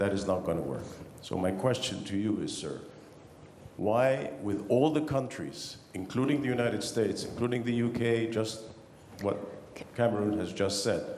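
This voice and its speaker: A man with an Arabic accent and a mid-range pitch, ordinary pitch variation, a moderate pace broken by long, frequent pauses, audible room echo and noticeable background noise. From Egypt. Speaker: audience member. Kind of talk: audience question at panel. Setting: conference hall with audience.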